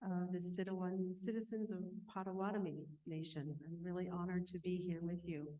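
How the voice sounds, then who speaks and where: A woman with an American accent speaks at a moderate pace in a dark, mellow tone, with audible echo in the room. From Northwest Minnesota, Ojibwe reservation. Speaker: mindfulness teacher and counselor. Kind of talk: conference talk. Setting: stage with audience at conference. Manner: calm, reflective.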